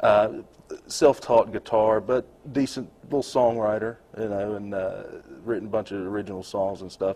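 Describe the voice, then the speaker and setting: A man with a plain, everyday voice, fairly low in pitch, at a moderate pace, with fairly even intonation and big swings in loudness. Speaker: stand-up comedian and songwriter. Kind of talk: casual interview chat.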